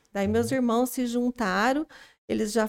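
This woman has an unremarkable speaking voice, fairly high in pitch, with ordinary pitch variation at a fairly slow pace, recorded dry and close with no echo on a very clean, silent background. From rural São Paulo state, near Minas Gerais border. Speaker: makeup artist. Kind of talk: casual interview.

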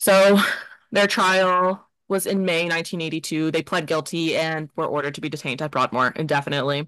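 A woman's fairly low voice with ordinary pitch variation, a fairly quick pace and a quiet background. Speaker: podcast host. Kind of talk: casual chat. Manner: fast.

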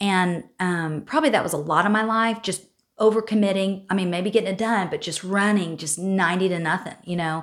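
On a very clean recording with a silent background, a woman talks at a fairly quick pace in a medium pitch with ordinary pitch variation. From Oklahoma. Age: 40s. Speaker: nonprofit leader and singer. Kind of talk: casual interview. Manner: animated.

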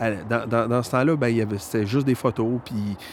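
This man has a medium-pitched voice and speaks with a Quebec accent. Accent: Québécois French. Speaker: guitar repair technician. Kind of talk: casual chat. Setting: outdoors.

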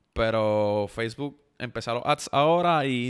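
The man's very slow speech rises and falls with ordinary pitch variation. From Puerto Rico, Yauco. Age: 20s. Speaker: content creator. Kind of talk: casual chat.

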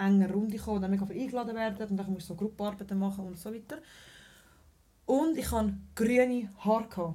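A woman talks very fast in a dark, mellow, somewhat breathy tone, leaving long, frequent pauses. The room echo is audible. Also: medium pitch for a woman, ordinary pitch variation. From Switzerland, Zurich. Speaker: mother of two, party host. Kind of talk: casual chat.

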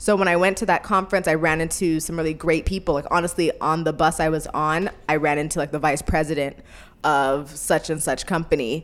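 With an American accent, a woman talks in a very deep, low pitch and fairly even intonation. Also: fairly quick pace. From California. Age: 20s. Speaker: podcast co-host. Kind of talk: casual chat.

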